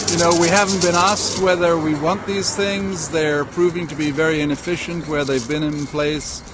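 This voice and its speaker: A man speaks at a high pitch with fairly even intonation. Noticeable background noise and audible room echo are present. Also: moderate pace. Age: 60s. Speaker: protester. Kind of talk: street interview.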